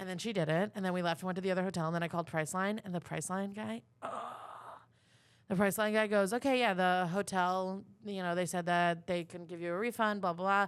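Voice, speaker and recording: Speaking very fast with an American accent, a woman keeps a medium pitch with ordinary pitch variation, on a very clean recording with a silent background. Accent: Long Island, stronger when angry. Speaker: comedian, podcast co-host. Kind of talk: casual chat, storytelling. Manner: animated.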